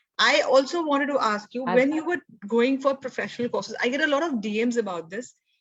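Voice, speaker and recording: In an Indian accent, a woman with a high voice speaks at a very fast pace with ordinary pitch variation. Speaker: podcast host, homeschooling parent. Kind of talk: interview.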